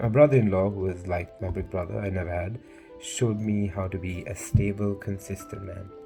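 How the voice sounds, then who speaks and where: With music in the background, a man speaks in a very deep, low voice with ordinary pitch variation. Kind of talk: personal speech recorded to camera. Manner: earnest, reflective.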